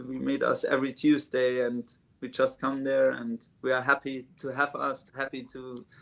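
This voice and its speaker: A man's monotone, flat voice at a moderate pace, with big swings in loudness. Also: medium pitch for a man. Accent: German. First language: German. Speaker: drummer. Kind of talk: interview. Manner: halting.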